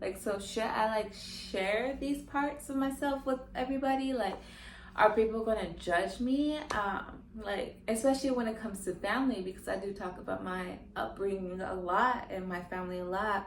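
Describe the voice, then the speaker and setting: A soft-spoken woman with a fairly high pitch and ordinary pitch variation. The room echo is audible and the background noise is noticeable. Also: moderate pace. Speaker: podcast host. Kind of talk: personal confessional monologue. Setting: solo to camera, natural sunlight. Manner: calm, collected.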